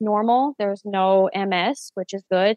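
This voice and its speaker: A woman's medium-pitched voice with a Newfoundland accent, fairly even intonation and a very slow pace. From Newfoundland, Canada (St. John's). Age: 30s. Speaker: stay-at-home mother, vaccine injury sufferer. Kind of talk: interview testimony.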